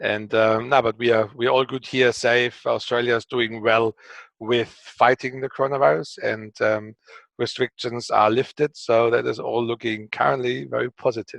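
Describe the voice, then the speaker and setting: The delivery moves at a moderate pace with fairly even intonation. It has a German accent and a dry, close sound with no echo. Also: man, medium pitch for a man. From Germany. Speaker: company co-founder and CEO. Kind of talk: interview. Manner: hesitant, many fillers.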